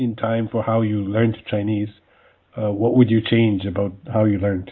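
In an ordinary speaking voice, a man talks at a moderate pace. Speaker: podcast host. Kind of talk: interview.

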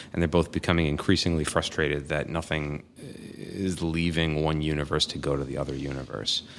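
With a very deep, low pitch and vocal fry, a man talks at a fairly quick pace in a monotone, flat intonation. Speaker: podcast host and improviser. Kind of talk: casual interview chat. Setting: studio. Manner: soft-spoken; hesitant, many fillers.

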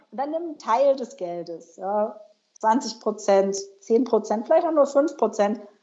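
A woman talks at a fairly slow pace with a fairly high pitch. It is an ordinary speaking voice. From northern Germany. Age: 30s. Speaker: personal finance blogger. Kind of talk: interview.

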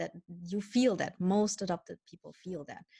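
A woman's somewhat breathy voice with a dark, mellow tone and fairly even intonation. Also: dry, close sound with no echo. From Germany. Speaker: spirit guide medium and author. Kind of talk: interview conversation.

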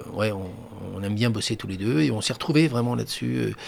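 The speech has lively intonation, with noticeable background noise present. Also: man. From France, Angers area. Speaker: stage actor. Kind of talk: radio interview. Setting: radio studio.

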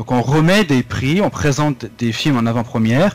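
A man with a somewhat breathy voice uses lively intonation and keeps a moderate pace. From France, Lorraine (Vosges). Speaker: French teacher. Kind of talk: interview. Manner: hesitant, with fillers.

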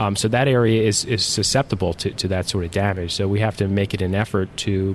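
A man speaks very fast at a fairly low pitch, his intonation fairly even, with noticeable background noise behind him. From South Jersey (Mays Landing, near Atlantic City). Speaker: state senator. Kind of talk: interview. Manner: halting, many fillers.

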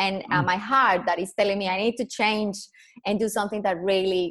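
Speaking at a fairly quick pace with a Colombian accent, a woman uses a medium pitch and ordinary pitch variation. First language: Spanish. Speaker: personal branding consultant. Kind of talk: interview. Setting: video call.

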